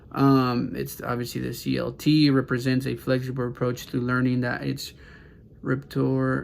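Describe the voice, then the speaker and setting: With a Spanish accent, this man talks at a moderate pace. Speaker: student. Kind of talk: class assignment presentation. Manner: halting, many fillers.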